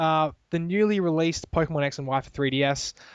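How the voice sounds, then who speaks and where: Recorded dry and close with no echo over a quiet background, a man with an Australian accent talks at a moderate pace with a fairly high pitch. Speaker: gaming podcast host. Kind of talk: casual chat. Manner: halting.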